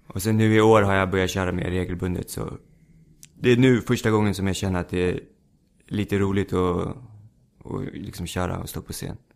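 A man speaks at a fairly quick pace in a fairly low voice, with fairly even intonation and long, frequent pauses. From Stockholm suburb (Rinkeby). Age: 20s. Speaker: stand-up comedian. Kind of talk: casual chat. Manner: halting.

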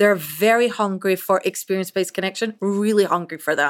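A woman speaks with a Scottish accent. Her voice sits at medium pitch. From Scotland. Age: 40s. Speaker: chief marketing officer. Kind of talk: interview.

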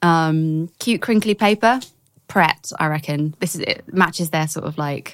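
A woman speaks at a fairly slow pace. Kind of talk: casual chat.

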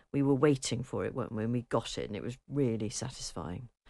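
Against a quiet background, a woman speaks very fast in a dark, mellow tone. Her pitch is very deep and low, with ordinary variation. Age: 50s. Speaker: radio host. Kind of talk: casual chat.

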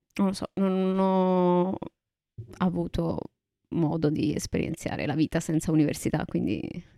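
In a dry, close sound with no echo, a woman with a fairly low pitch speaks at a fairly slow pace, with fairly even intonation and long, frequent pauses. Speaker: podcast co-host. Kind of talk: casual chat.

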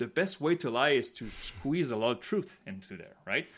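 On a very clean recording with a silent background, a man speaks at a fairly quick pace with very wide pitch swings. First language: French. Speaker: podcast co-host, polling analyst. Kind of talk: casual chat.

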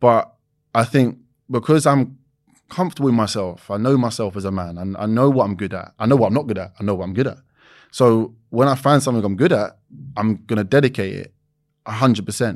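A man with a London accent and medium pitch talks at a fairly quick pace, with ordinary pitch variation and big swings in loudness, in a very clean recording with a silent background. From East London, England. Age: 20s. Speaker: reality TV personality and former footballer. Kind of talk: casual interview.

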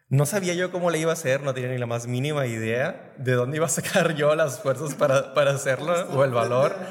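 A man talks at a fairly quick clip with hardly any pauses, his pitch fairly high and its variation ordinary, over noticeable background noise. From Reynosa, Tamaulipas, northern Mexico. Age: 30s. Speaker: theatre co-founder, industrial engineer. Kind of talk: casual interview.

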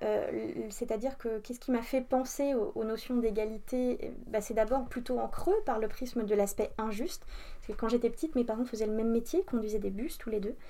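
A woman with a dark, mellow tone speaks at a fairly high pitch and moderate pace. Her pitch varies in an ordinary way, with hardly any pauses. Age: 30s. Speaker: entrepreneur and equality consultant. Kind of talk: interview. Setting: coworking space. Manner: hesitant with filler words.

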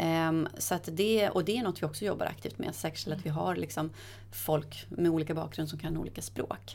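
A woman's very deep, low pitch with vocal fry and very wide pitch swings, at a fairly quick pace. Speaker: corporate sustainability head. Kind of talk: interview conversation. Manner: quick, sharp delivery.

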